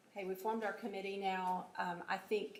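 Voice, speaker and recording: A woman with an American accent speaks at a medium pitch in a monotone, flat way. Audible room echo surrounds her voice. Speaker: city economic development staff running the meeting. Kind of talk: public meeting.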